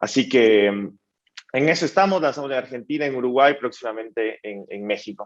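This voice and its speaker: A man with an Ecuadorian accent at a fairly quick pace. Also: medium pitch for a man, lively intonation, big swings in loudness. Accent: Ecuadorian accent, remarked on. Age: 20s. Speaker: startup founder and CEO. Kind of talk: panel interview.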